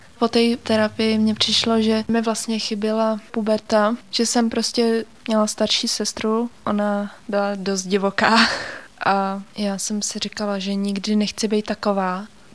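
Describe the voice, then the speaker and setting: A woman with a fairly high voice speaks at a fairly slow pace in a flat, monotone way, with noticeable background noise. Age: 20s. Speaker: therapy client. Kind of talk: interview testimony.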